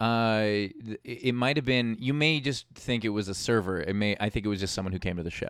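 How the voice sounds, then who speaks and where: This is an unremarkable speaking voice, a man at a medium pitch with ordinary pitch variation and a fairly quick pace. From New York (Queens). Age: 30s. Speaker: comedian and TV host. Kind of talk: casual chat.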